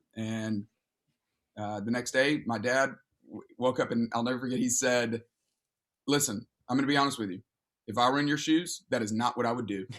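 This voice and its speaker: A man with a Southern US accent talks at a fairly quick pace with a medium pitch, broken by long, frequent pauses. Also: ordinary pitch variation. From Alabama. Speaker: pastor. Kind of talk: casual chat.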